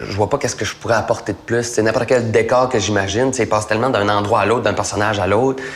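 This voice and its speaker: Over noticeable background noise, a man at a medium pitch rattles off words at a very fast pace in a monotone, flat intonation with hardly any pauses. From Acadia, northern New Brunswick (McKendrick). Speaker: actor. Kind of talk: interview. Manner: casual, hesitant with fillers.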